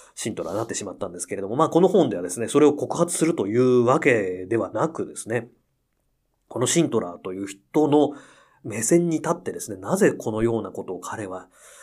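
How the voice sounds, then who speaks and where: A man's medium-pitched voice at a fairly quick pace, with very wide pitch swings and big swings in loudness, on a very clean recording with a silent background. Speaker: pianist and podcast host. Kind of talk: casual radio-style monologue.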